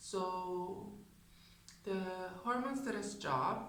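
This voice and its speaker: A woman of medium pitch speaks with noticeable background noise and audible room echo around her. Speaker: video blogger. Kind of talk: personal vlog talk.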